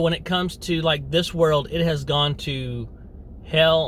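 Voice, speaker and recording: Audible room echo hangs around this recording. The man in it talks at a very slow pace. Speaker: video blogger. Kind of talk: opinion monologue. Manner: animated, repetitive.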